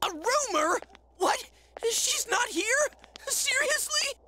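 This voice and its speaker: A squeaky, put-on character voice at an extremely high pitch and a fairly slow pace. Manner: dramatic, alarmed.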